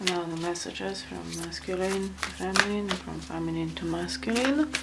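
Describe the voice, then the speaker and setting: Over noticeable background noise and audible room echo, a woman speaks with a non-native accent. Her pace is moderate, and her loudness swings widely. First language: not English. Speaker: tarot reader. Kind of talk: tarot card reading. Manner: halting, many fillers.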